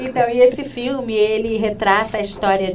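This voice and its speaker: A woman talks at a moderate pace with ordinary pitch variation, her voice carrying audible room echo over noticeable background noise. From Rio de Janeiro, Brazil. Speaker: labor lawyer. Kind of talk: interview.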